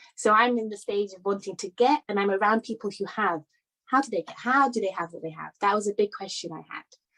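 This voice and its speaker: At a very fast pace, a woman with a British accent speaks at a medium pitch with ordinary pitch variation and big swings in loudness, in a dry, close sound with no echo. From London, England. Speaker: conference speaker. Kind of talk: talk. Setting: virtual summit.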